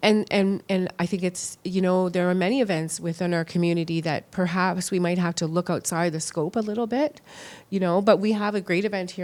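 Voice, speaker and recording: A woman with a Canadian accent and a plain, everyday voice, medium in pitch, fairly even in intonation, at a fairly quick pace. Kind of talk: interview.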